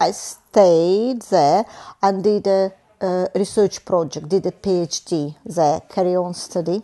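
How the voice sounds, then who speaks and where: With a Russian accent, a woman speaks at a medium pitch in a dark, mellow tone with ordinary pitch variation. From Russia, Moscow. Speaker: engineer. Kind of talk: oral history interview. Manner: halting.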